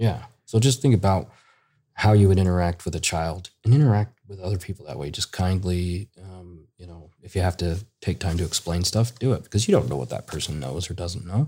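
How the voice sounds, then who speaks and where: A very deep, low-pitched man, somewhat breathy, with a dark, mellow tone, a fairly quick pace, big swings in loudness and ordinary pitch variation, on a very clean recording with a silent background. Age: 30s. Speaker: children's book author. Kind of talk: casual interview.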